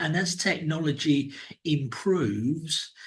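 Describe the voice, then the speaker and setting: A man's fairly high, somewhat breathy voice with a southern English accent. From England (London, then Cambridge). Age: 60s. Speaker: business executive and mentor. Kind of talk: interview. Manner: halting, many repeated words.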